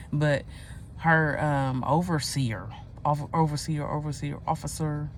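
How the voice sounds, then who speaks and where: In audible room echo, a woman speaks at a fairly slow pace. Her intonation stays fairly even. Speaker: video blogger. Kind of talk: casual monologue rant. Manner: halting, stuttering.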